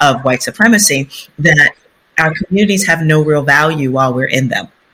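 A woman with an American accent has a very deep, low pitch, a bright, sharp tone, and ordinary pitch variation. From US Northeast, South Bronx, New York City. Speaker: urban development consultant and author. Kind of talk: interview conversation.

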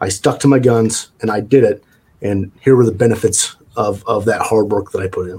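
With an ordinary speaking voice, a man talks at a moderate pace and medium pitch, his intonation fairly even. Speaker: franchise executive. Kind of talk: interview.

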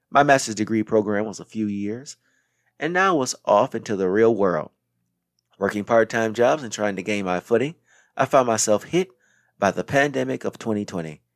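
A man with an American accent speaks in a plain, everyday voice at a fairly low pitch and moderate pace, with lively intonation, on a very clean recording with a silent background and a dry, close sound with no echo. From Racine, Wisconsin. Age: 30s. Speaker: podcast host. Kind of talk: scripted monologue. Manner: formal.

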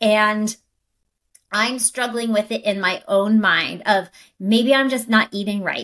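At a fairly slow pace, a woman talks in an ordinary speaking voice, fairly high in pitch, with fairly even intonation. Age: 30s. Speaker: wellness podcast co-host and health coach. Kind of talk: casual chat.

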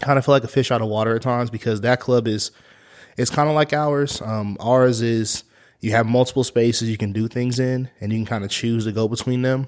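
With an American accent, a man uses a plain, everyday voice at medium pitch, speaking at a fairly quick pace with fairly even intonation. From Kansas, US. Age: 30s. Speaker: youth club coordinator. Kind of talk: casual interview.

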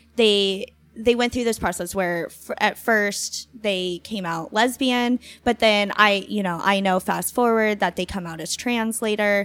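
A woman talks at a fairly slow pace in a medium pitch, her intonation fairly even. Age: 20s. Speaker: podcast host. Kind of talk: casual chat. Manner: hesitant, filler-heavy.

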